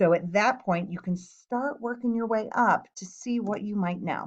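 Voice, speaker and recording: Against a quiet background, a woman speaks in a plain, everyday voice at a medium pitch and a moderate pace, with ordinary pitch variation. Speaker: science teacher. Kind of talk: tutorial.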